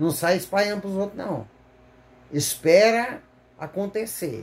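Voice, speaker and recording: Here a man speaks at a high pitch with lively intonation. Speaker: lay preacher. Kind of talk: sermon. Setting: recorded video, not live. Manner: halting, stumbles over words; fervent, exclamatory.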